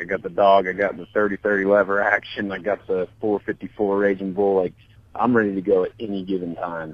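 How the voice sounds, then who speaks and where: A man with an American accent and an unremarkable speaking voice talks at a fairly quick pace in a fairly low pitch. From Montana. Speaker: hunter and diesel shop owner. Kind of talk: casual chat. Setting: in a parked truck.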